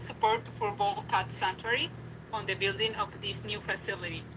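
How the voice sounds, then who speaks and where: A woman with a non-native accent at a moderate pace, amid noticeable background noise. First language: not English. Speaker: sanctuary volunteer. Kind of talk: public hearing comment. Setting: video call.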